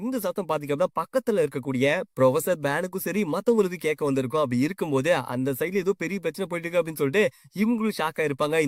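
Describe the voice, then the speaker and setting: A man with a fairly high pitch uses an ordinary speaking voice, recorded with a dry, close sound and no echo. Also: lively intonation. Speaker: manhwa story explainer. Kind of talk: casual story recap narration. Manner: casual, conversational.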